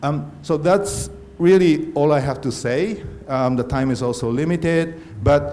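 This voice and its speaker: Noticeable background noise and audible room echo around a voice with a non-native accent and ordinary pitch variation. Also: man. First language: not English. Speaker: conference organizer. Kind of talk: conference talk. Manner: halting.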